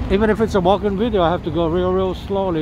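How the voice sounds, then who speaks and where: A dry sound with no echo, plus noticeable background noise. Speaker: walking tour vlogger. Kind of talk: casual vlog commentary. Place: street. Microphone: phone near.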